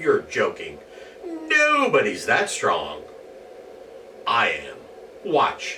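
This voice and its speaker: A man uses a put-on character voice at a very slow pace, with long, frequent pauses. Clear background noise runs underneath. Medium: read story.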